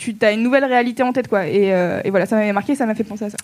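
A woman talks at a very fast pace with a fairly high pitch. Her pitch varies in an ordinary way. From southern France. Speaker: podcast host. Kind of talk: live podcast recording with audience. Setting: stage with audience.

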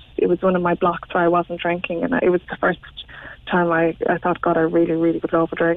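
The speaker has an Irish accent. The intonation is monotone and flat. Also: woman. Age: 30s. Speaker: interviewee on sobriety. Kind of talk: radio interview.

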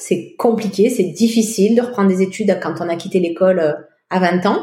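A woman speaks at a fairly slow pace, her voice somewhat breathy. Her pitch rises and falls in an ordinary way. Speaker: French immigrant in Quebec. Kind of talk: interview testimony.

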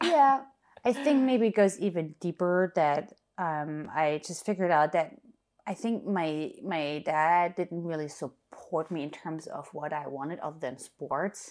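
In a German accent, the speaker moves at a fairly slow pace with lively intonation. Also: woman, fairly low pitch for a woman. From Germany. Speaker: DJ and music producer. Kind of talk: casual interview chat.

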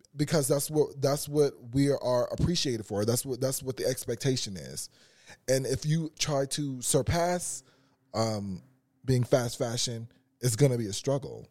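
An American-accented man's medium-pitched voice, dark and mellow in tone, with ordinary pitch variation at a moderate pace, on a very clean recording with a silent background. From Los Angeles (Carson). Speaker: fashion designer. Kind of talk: casual interview chat.

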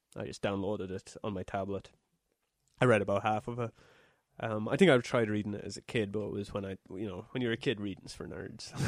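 A man with an Irish accent speaks at a fairly quick pace in a fairly low voice, his intonation fairly even but his loudness swinging widely, recorded dry and close with no echo against a quiet background. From Ireland. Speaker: podcast co-host. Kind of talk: casual chat.

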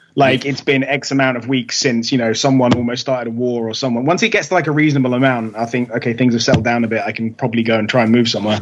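A man's medium-pitched voice at a very fast pace with hardly any pauses and fairly even intonation. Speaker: metal musician. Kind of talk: casual interview chat.

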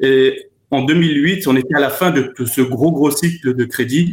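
Here is a somewhat breathy man's voice. It sits at a fairly high pitch with ordinary pitch variation. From France. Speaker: former trader and consultant. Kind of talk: remote discussion interview.

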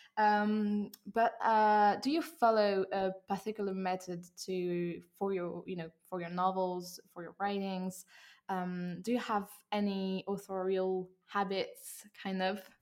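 A very slow woman's voice in a French accent, medium in pitch, with fairly even intonation. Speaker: interviewer, podcast host. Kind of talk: interview in English. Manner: halting, hesitant in English.

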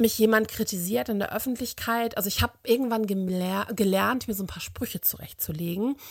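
Speaking at a moderate pace, a woman with a fairly high pitch has a bright, sharp tone and ordinary pitch variation. Her loudness swings widely, on a very clean recording with a silent background. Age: 40s. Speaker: social media activist. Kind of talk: recorded voice message.

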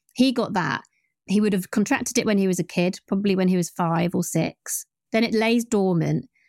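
In a very clean recording with a silent background and a dry, close sound with no echo, a woman speaks in a plain, everyday voice of medium pitch with ordinary pitch variation, very even loudness and a fairly quick pace. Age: 40s. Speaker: journalist and podcast producer. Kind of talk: interview.

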